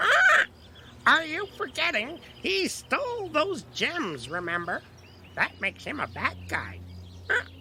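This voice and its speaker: A high-pitched, put-on character voice amid loud background noise. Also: fairly slow pace. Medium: audio drama. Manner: sarcastic, wisecracking.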